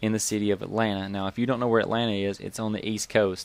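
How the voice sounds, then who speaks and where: A man with a Southern US accent speaks at a fairly low pitch in a monotone, flat intonation. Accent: Southern US (Georgia). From US South, Georgia. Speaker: gaming YouTuber. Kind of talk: casual storytelling. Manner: casual, conversational.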